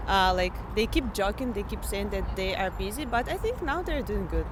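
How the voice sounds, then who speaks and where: A woman in a Russian accent talks at a moderate pace, with audible room echo and noticeable background noise. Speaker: international student. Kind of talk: street interview.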